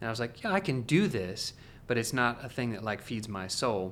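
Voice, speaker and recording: In an unremarkable speaking voice, a man with an American accent talks at a moderate pace and medium pitch, with ordinary pitch variation. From Oregon, US Pacific Northwest. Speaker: music publishing executive. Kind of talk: interview conversation.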